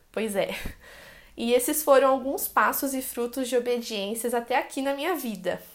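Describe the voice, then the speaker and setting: At a moderate pace, a woman with a high pitch speaks in fairly even intonation. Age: 20s. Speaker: evangelical youth leader and preschool teacher. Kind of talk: testimony.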